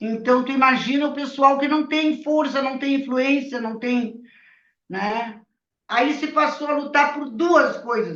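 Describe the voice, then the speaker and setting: Very slow, high-pitched speech from a woman with fairly even intonation, in audible room echo. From Rio Grande do Sul, Brazil (Bagé). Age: 70s. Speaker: retired labour judge, former resistance activist. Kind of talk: testimony.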